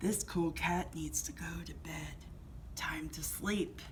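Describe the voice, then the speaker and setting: Someone performs a put-on character voice at a fairly slow pace. Clear background noise sits behind it. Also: woman. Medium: read story. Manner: mellow, cool.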